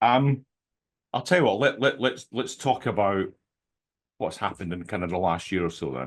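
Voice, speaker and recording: A man with a Scottish accent, fairly low in pitch with vocal fry and very wide pitch swings, at a moderate pace with long, frequent pauses, over a quiet background. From Scotland. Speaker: podcast host. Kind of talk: interview.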